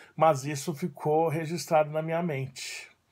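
Speech comes at a fairly slow pace. The voice is somewhat breathy. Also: man. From Brazil, São Paulo (childhood in southern Brazil). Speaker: judo teacher. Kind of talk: personal storytelling monologue; casual vlog chat, personal story. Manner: casual, with filler words. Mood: warm, nostalgic. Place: home room. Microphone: phone near.

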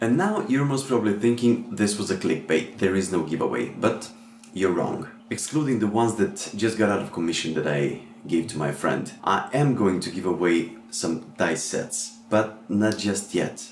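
Audible room echo and light background noise surround a man who speaks at a moderate pace with a fairly low pitch and lively intonation. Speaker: tabletop RPG and crafts YouTuber. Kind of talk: casual talk to camera. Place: home room.

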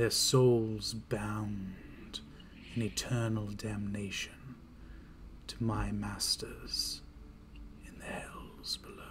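A man performs a put-on character voice, fairly low in pitch. He goes at a very slow pace with long, frequent pauses. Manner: menacing, condescending.

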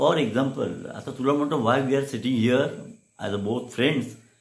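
Vocal fry runs through this man's medium-pitched voice. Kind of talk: talk show host conversation.

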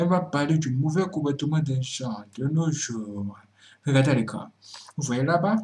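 A man talks fairly slowly, his voice somewhat breathy with a dark, mellow tone. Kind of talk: commentary talk to camera.

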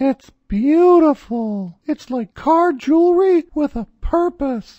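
In a cartoonish character voice, a woman speaks very slowly with a high pitch and lively intonation against a quiet background. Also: dry, close sound with no echo. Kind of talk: comic infomercial pitch. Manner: excited, giddy.

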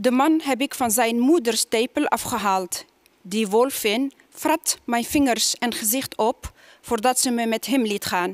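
In an Arabic accent, the speaker talks at a very slow pace with ordinary pitch variation, in a dry sound with no echo over a quiet background. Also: woman. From Tunisia. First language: Arabic (speaking Dutch). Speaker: poet. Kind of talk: poetry reading. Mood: calm, measured. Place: stage. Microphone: headset.

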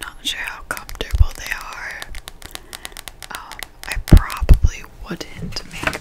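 Whispering at a very slow pace with long, frequent pauses, a woman speaks with big swings in loudness over noticeable background noise. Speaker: ASMR creator. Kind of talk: casual chatty talk to camera about a bookstore visit and book pictures. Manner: whispered, soft-spoken.

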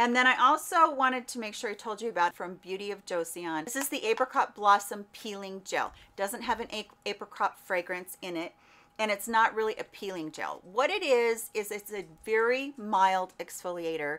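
A woman's fairly high, bright, sharp voice at a moderate pace, with lively intonation and big swings in loudness. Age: 50s. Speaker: beauty content creator. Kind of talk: product review vlog. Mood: warm, upbeat. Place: home room.

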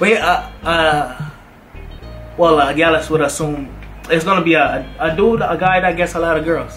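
Against faint music in the background, a man with a high pitch talks at a moderate pace, with long, frequent pauses, very even loudness and fairly even intonation. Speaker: YouTuber. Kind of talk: casual conversation. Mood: amused, hesitant. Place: home room.

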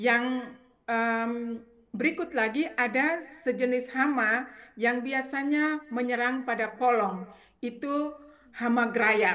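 Speaking very slowly, a woman uses a high voice with a bright, sharp tone, ordinary pitch variation and very even loudness. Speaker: agriculture academic. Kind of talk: expert commentary. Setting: remote video call. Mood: earnest, cautionary. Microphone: video call.

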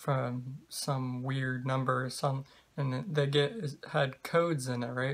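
This man talks at a very slow pace with fairly even intonation. His voice is somewhat breathy. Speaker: vlogger. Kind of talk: casual vlog chat. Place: home room. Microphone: webcam.

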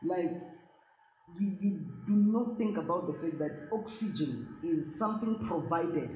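At a fairly slow pace and with long, frequent pauses, a woman speaks in a fairly low, somewhat breathy voice with a dark, mellow tone, lively intonation and very even loudness, over audible room echo and light background noise. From South Africa. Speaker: actress. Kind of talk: interview. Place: home room.

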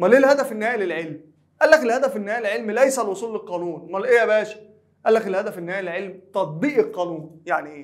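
Over a quiet background, a man with a Cairo accent talks at a very fast pace and high pitch, with lively intonation. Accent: Egyptian Arabic (Cairene). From Egypt. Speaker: high school teacher. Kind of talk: lecture. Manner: conversational, asks and answers own questions. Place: studio.

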